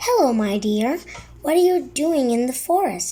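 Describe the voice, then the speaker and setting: A woman does a put-on character voice, high-pitched with very wide pitch swings. She keeps a moderate pace. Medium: read story. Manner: sly.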